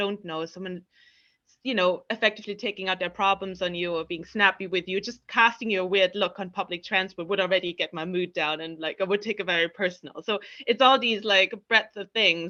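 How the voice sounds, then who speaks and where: A woman with a German accent, medium pitch and a bright, sharp tone, at a fairly quick pace with fairly even intonation against a quiet background. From East Germany. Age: 30s. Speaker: confidence coach and platform founder. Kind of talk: podcast interview. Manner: conversational with frequent fillers.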